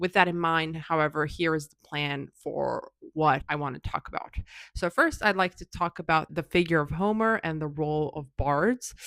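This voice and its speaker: On a very clean recording with a silent background, a woman speaks at a moderate pace. Her pitch is fairly low, with ordinary variation. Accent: non-native. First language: not English. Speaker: YouTuber explaining classics. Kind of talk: explainer video. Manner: some hesitations and fillers.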